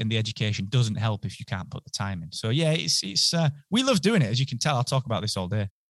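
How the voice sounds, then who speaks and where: A man with a northern English accent speaks fairly quickly, somewhat breathy, with lively intonation. The sound is dry and close, without echo. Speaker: podcasting entrepreneur. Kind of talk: interview. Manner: enthusiastic.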